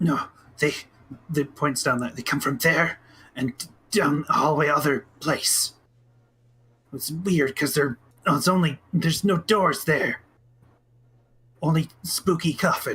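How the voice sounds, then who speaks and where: Putting on a character voice, a man speaks raspy and fairly slowly at a fairly high pitch, leaving long, frequent pauses. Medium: actual play. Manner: broken grammar, stammering, hesitant.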